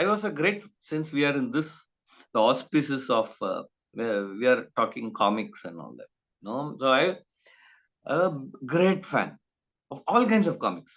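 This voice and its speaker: A man's fairly high-pitched voice with vocal fry, very wide pitch swings and big swings in loudness, at a fairly slow pace with long, frequent pauses, over a quiet background. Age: 50s. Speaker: writer and illustrator. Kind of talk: interview. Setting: video call. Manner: halting, many fillers.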